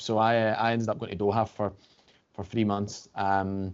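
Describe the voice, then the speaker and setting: At a fairly quick pace, a man speaks in a fairly low pitch with monotone, flat intonation. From Scotland, Glasgow. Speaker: financial services regional director. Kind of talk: podcast interview. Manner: hesitant, many fillers.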